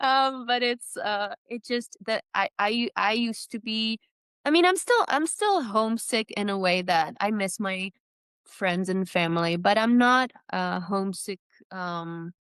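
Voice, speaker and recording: With a Czech accent, a woman talks at a fairly slow pace in a fairly high pitch. Her intonation is lively, and the sound is dry and close with no echo. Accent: Czech accent, noticeable. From Czech Republic (Prague). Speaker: trail runner. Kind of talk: podcast interview. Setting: video call.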